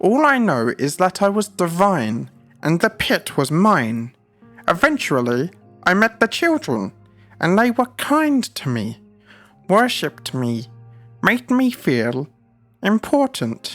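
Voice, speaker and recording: Speaking in a put-on character voice at a fairly slow pace, this middle-pitched speaker swings very widely in pitch, leaves long and frequent pauses, and has faint music playing behind. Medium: read story. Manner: lofty, archaic speech.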